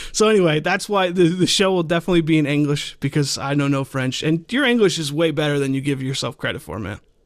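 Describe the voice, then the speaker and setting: A man talks very fast, with hardly any pauses. His pitch is fairly high, with ordinary variation. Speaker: podcast host. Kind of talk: casual chat.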